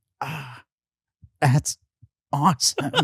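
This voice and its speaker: A put-on character voice comes through raspy at a low-to-middle pitch. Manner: weak, dying, trying to stay awake.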